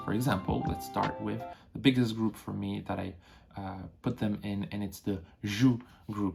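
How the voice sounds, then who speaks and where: A man's fairly low voice in a French accent, at a fairly slow pace with ordinary pitch variation. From France. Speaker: memory challenge youtuber. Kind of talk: casual vlog monologue. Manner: hesitant, many fillers.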